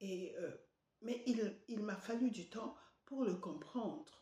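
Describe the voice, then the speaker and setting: A woman speaks at a very slow pace in a somewhat breathy voice with ordinary pitch variation. Audible room echo surrounds her. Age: 70s. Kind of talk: devotional sermon. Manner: halting, many hesitations.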